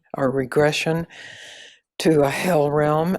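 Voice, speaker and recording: A woman speaks in a very deep, low pitch. Her intonation is monotone and flat, and her pace is very slow. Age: 80s+. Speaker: spiritual teacher. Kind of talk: interview. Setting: video call.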